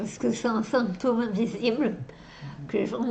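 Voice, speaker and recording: Her voice sits fairly high for a woman. Noticeable background noise is present. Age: 30s. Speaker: actress. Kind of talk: interview answer.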